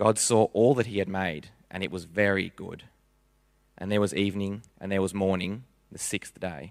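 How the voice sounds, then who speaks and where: A man with a plain, everyday voice and a fairly low pitch talks at a moderate pace, with big swings in loudness. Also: fairly even intonation. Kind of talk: scripture reading aloud. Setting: church.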